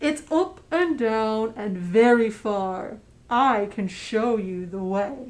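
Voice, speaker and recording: A woman puts on a character voice, fairly high in pitch and very slow. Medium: read story. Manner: mysterious, riddling.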